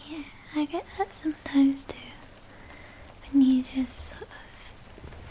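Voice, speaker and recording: A woman whispers at a fairly slow pace, leaving long, frequent pauses. Noticeable background noise is present. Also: big swings in loudness. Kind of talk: casual talk to camera, girlfriend-style intro. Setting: close-up ASMR recording with page turning. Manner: soft-spoken.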